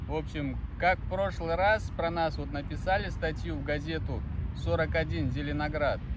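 Noticeable background noise runs through the clip. Over it, a man talks. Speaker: dog-owner video blogger. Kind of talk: casual vlog narration, talking to his dogs. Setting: outdoors. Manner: animated.

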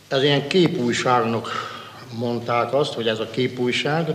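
Noticeable background noise runs under this recording. A man speaks with a medium pitch. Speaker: former prisoner of war. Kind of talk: testimony.

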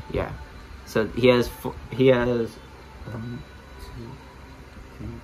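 Noticeable background noise runs throughout. Over it, a man speaks at a very slow pace. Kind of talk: casual action figure review to camera. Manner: hesitant, repetitive.

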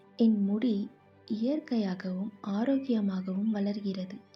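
A woman speaks in a fairly high pitch with fairly even intonation. Her tone is calm, and music plays in the background. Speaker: affirmation narrator. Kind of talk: guided affirmations.

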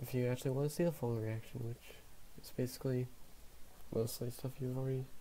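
A man speaks at a fairly quick pace in a somewhat breathy, dark, mellow tone with fairly even intonation over light background noise. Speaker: reaction video host. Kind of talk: casual reaction commentary. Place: home room. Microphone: webcam.

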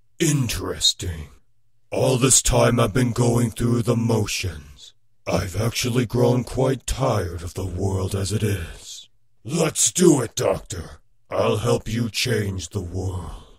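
Using a put-on character voice, a man speaks in a menacing tone at medium pitch and a fairly slow pace. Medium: voice reel. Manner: menacing, taunting.

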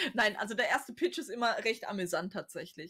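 A woman's fairly high voice with very wide pitch swings, over a quiet background. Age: 30s. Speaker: author and cover designer; guest. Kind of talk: casual chat. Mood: candid, reflective. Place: home room. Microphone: webcam.

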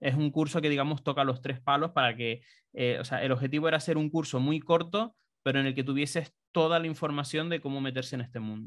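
This man talks very fast with fairly even intonation and a fairly high pitch. The background is quiet. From Canary Islands (Tenerife); Canary Islands. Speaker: BIM consultant; interviewee. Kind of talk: interview. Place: home room. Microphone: studio mic.

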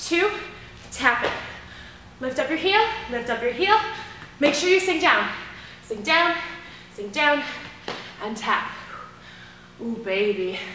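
Speaking in a raised, projected voice at a fairly slow pace, the speaker leaves long, frequent pauses amid light background noise and audible room echo. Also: woman. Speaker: fitness instructor. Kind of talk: workout instruction. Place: gym.

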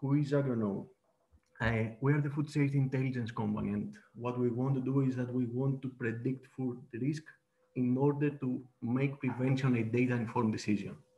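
A man at medium pitch with a Greek accent, dark, mellow and somewhat breathy, fairly quick in pace and monotone, flat in intonation. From Greece. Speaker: data platform presenter; presenter. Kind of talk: webinar presentation and demo. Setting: video call. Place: home room. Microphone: webcam.

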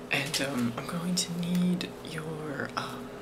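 A soft-spoken man talks at a very slow pace. Loud background noise sits behind him. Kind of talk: role-play customer service dialogue. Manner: soft ASMR-style quiet speech. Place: home room. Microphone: phone near.

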